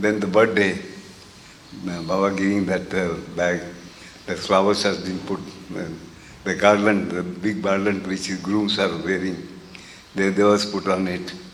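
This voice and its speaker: A man with a very deep, low voice speaks at a moderate pace in a flat monotone. He leaves long, frequent pauses, and the room echo is audible. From India. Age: 80s+. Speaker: interviewee recalling spiritual history. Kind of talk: interview reminiscence. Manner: halting, many fillers.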